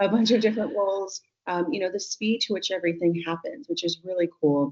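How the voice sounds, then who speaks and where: Fairly quick, lively speech from a woman with a Californian accent. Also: medium pitch for a woman. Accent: California. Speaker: tech business leader. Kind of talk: podcast interview.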